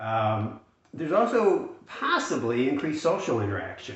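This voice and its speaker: Noticeable background noise and audible room echo surround a man speaking at a medium pitch. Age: 60s. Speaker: retirement finance youtuber. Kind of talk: casual monologue to camera. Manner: hesitant with many fillers.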